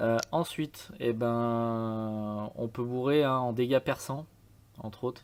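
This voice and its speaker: A man talks at a medium pitch with fairly even intonation. The recording is very clean, with a silent background. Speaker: game tutorial youtuber. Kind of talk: tutorial. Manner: hesitant, many fillers.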